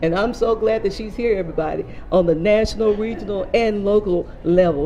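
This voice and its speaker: Amid noticeable background noise, a woman talks in an animated tone at medium pitch with ordinary pitch variation. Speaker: mental health coordinator and TV host. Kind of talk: Facebook live interview. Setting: live stream at a hotel venue. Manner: fast.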